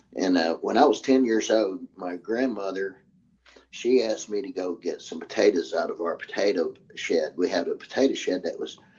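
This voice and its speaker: At a moderate pace, a man speaks with an Arkansas accent. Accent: Southern US (Arkansas). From US South, Arkansas (Hot Springs, Garland County). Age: 60s. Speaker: military veteran. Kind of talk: interview, eyewitness account. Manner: halting, many fillers and restarts.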